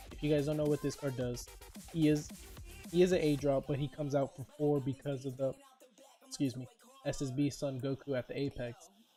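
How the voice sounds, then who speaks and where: With music playing behind him, a man speaks at a fairly high pitch and a fairly quick pace in a monotone, flat intonation, leaving long, frequent pauses. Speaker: card game content creator. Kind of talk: casual talk to camera.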